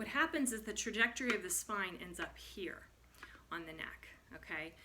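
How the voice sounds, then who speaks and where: A woman with a fairly high pitch speaks with lively intonation over noticeable background noise. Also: moderate pace. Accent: American. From US Midwest. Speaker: movement and posture instructor. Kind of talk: tutorial. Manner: stuttering; casual.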